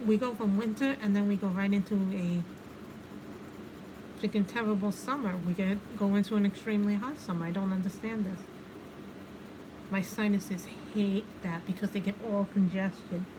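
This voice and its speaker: Against noticeable background noise, a woman with a New York accent speaks at a moderate pace with long, frequent pauses. Her pitch is medium and her intonation fairly even. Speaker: livestreamer doing adult coloring. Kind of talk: casual chat. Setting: livestream. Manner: chatty, conversational.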